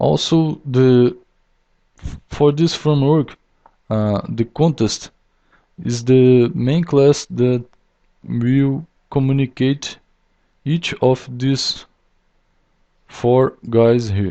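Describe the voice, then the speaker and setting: A man with a non-native accent speaks at a very slow pace in a medium pitch, with ordinary pitch variation and long, frequent pauses. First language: not English. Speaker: software developer. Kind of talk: tutorial. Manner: halting, many fillers.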